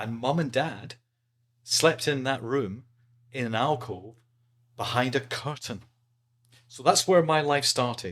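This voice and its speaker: A man of medium pitch speaks in an Edinburgh accent at a fairly slow pace, with long, frequent pauses. His pitch varies in an ordinary way while his loudness swings widely. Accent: Scottish (Edinburgh). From Scotland, Edinburgh (Leith). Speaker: podcast guest. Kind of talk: casual interview chat.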